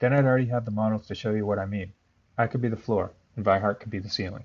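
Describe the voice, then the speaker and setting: A man talks at a medium pitch. His intonation is fairly even. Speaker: math teacher. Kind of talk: tutorial. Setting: recorded instructional video. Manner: monotone.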